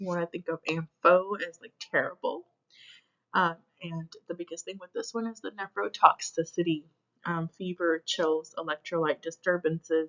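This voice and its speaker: A woman at a fairly low pitch, with fairly even intonation, a moderate pace and big swings in loudness. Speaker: nursing instructor or tutor. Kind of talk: lecture. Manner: hesitant with many fillers.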